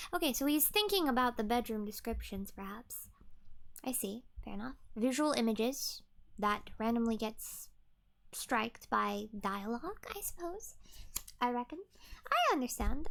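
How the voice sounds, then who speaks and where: Long, frequent pauses break up speech that otherwise moves at a moderate pace. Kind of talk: casual commentary on the story. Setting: home recording, ASMR-style. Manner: chatty, thinking aloud.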